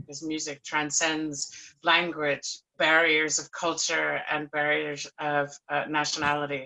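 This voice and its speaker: There is an American accent in this woman's speech. She has a very deep, low voice. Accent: non-Scottish, American. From United States. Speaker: panelist, musician. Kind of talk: panel discussion.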